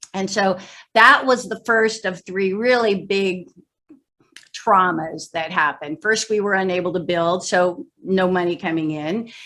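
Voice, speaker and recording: In an ordinary speaking voice, a woman talks at medium pitch with ordinary pitch variation. Her pace is fairly slow. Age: 60s. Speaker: motivational speaker and sales trainer. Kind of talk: interview on training call.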